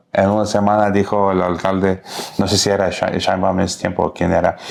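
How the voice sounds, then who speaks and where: With an English accent, a man talks at a fairly quick pace in a fairly low pitch over noticeable background noise. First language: English (speaking Spanish). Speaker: podcast host. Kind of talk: interview conversation. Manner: halting.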